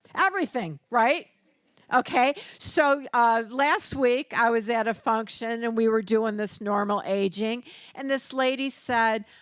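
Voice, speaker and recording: An ordinary speaking voice with an American accent, delivered at a fairly slow pace with ordinary pitch variation. The recording is very clean, with a silent background. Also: woman, fairly high pitch for a woman. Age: 60s. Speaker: registered nurse and community educator. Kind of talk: workshop presentation. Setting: church hall with audience. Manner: conversational.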